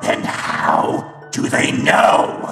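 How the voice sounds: A woman does a put-on character voice at an extremely low pitch with vocal fry and big pitch swings. She goes at a very slow pace, with faint music in the background.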